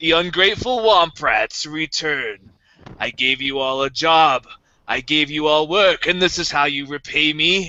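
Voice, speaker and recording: A booming man uses a put-on character voice with a fairly high pitch, delivered at a moderate pace. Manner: booming, domineering.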